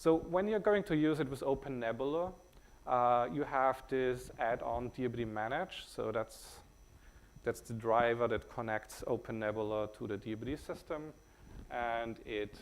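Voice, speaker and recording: Speaking at a moderate pace with a German accent, the man has a medium pitch and ordinary pitch variation. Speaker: company CEO presenting software. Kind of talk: conference talk. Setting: stage with audience. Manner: hesitant, many filler words.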